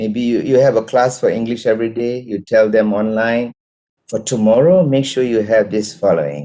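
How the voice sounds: With a dark, mellow tone, a man speaks at a fairly low pitch and moderate pace, his pitch varying an ordinary amount.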